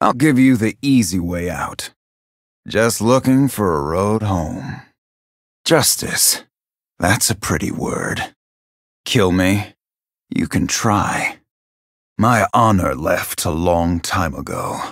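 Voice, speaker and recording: A man's put-on character voice, fairly low in pitch, very slow, with long, frequent pauses. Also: lively intonation. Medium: video game voice lines. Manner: stoic, brooding.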